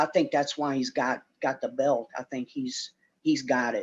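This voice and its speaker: At a fairly slow pace, a man speaks in an unremarkable speaking voice with a fairly high pitch. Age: 50s. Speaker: retired professional wrestler. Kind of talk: podcast interview.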